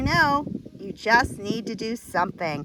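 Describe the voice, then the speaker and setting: A woman with a fairly high voice and ordinary pitch variation speaks over noticeable background noise. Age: 50s. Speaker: homesteader. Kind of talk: outdoor tutorial vlog.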